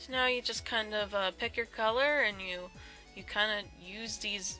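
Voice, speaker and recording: Music can be heard behind the speaker. She is a woman talking at a moderate speed. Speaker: Photoshop tutorial maker. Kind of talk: tutorial voice-over. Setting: home, birds in background. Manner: casual, hesitant.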